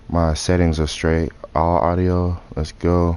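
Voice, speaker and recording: Noticeable background noise beneath a man's voice, very deep and low in pitch. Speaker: gaming streamer. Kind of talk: live gameplay commentary. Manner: casual, conversational.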